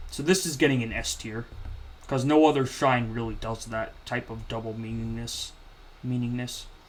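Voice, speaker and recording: There is audible room echo as a man speaks at a moderate pace with big swings in loudness. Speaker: gaming video creator. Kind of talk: commentary video narration. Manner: stuttering; casual, animated.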